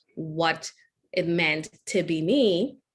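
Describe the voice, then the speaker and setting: Here a woman talks in a Trinidadian accent. Her fairly low-pitched voice keeps a fairly even intonation. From Trinidad and Tobago. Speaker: engineer and keynote speaker. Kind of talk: keynote talk.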